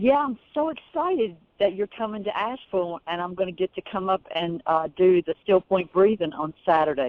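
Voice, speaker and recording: A woman speaks at a moderate pace with hardly any pauses, in a Southern US accent. Her medium-pitched voice has lively intonation. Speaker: caller. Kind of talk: phone call.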